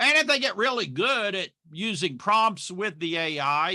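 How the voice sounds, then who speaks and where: A man's bright, sharp voice with vocal fry and very wide pitch swings, on a very clean recording with a silent background. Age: 60s. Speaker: marketing expert. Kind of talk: casual chat.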